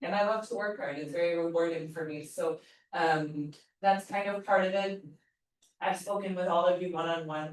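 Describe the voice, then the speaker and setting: At a moderate pace, a woman with medium pitch and ordinary pitch variation speaks in an ordinary speaking voice. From eastern Canada, New Brunswick. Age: 40s. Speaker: yoga teacher trainer. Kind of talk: workshop teaching talk. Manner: casual, conversational.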